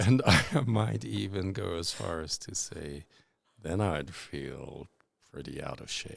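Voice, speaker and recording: Very slowly, a man speaks with a very deep, low pitch, vocal fry, very wide pitch swings and big swings in loudness. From South Africa. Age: 60s. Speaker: interviewee, artist's father. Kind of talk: interview.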